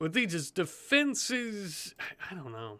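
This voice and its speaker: Moderately paced speech from a man. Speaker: gaming video creator. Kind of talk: let's play gameplay commentary. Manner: halting, stumbling; casual, thinking aloud.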